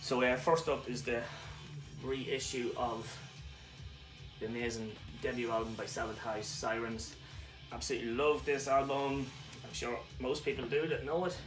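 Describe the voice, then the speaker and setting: Music plays in the background as a man talks at a moderate pace. His intonation is fairly even, with long, frequent pauses. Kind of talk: casual vlog chat. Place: home room.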